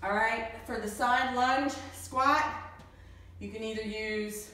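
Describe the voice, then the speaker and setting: A woman speaks with fairly even intonation, and audible room echo surrounds her voice. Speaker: fitness instructor. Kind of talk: workout instruction. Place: gym. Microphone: camera far.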